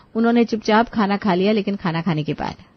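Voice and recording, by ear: A woman talks at a fast pace with ordinary pitch variation. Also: medium pitch for a woman.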